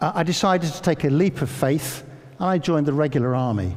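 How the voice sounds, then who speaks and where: A man speaks at a fairly quick pace in a somewhat breathy voice with lively intonation. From England, Northamptonshire. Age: 60s. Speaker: educator and former army officer. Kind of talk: public talk. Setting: church with audience.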